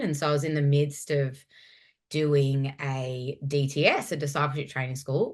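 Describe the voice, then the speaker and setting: With a strong Australian accent, a woman speaks at a very deep, low pitch and fairly even intonation over a quiet background. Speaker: former youth pastor. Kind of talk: interview conversation.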